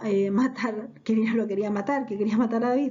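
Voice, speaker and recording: This woman's voice sits fairly high in pitch. It has a somewhat breathy quality. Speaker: Bible teacher. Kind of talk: Bible class. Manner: conversational storytelling.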